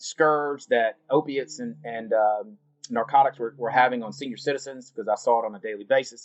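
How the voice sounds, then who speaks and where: A man talks at a moderate pace with a Southern US accent and a medium pitch. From US South, North Carolina. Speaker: cannabis industry executive. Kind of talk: interview. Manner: casual.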